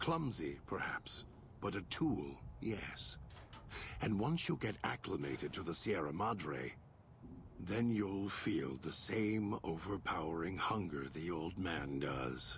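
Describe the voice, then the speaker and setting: A man puts on a character voice, very deep and low, at a fairly slow pace. Background noise is clearly heard. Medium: short film. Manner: measured, deliberate.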